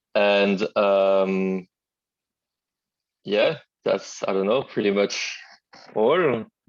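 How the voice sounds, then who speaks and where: Speaking with a French accent, a man talks at a very slow pace with long, frequent pauses. His fairly low pitch shows ordinary variation, and his loudness stays very even. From Martinique, then southeast France. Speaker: fire safety engineer, martial arts practitioner. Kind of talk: interview. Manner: halting, many fillers.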